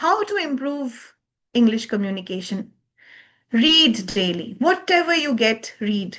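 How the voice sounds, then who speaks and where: Speaking with a Bengali accent, a woman has a high pitch with very wide swings. Her pace is fairly slow. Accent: Bengali Indian English. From eastern India, Bengal. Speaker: communication skills trainer. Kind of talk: lecture.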